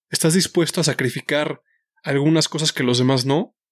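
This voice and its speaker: A man speaks in a normal speaking voice, fairly high in pitch, at a fairly quick pace with fairly even intonation. The sound is dry and close with no echo, over a quiet background. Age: 30s. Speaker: podcast host and nutrition coach. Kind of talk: solo podcast monologue.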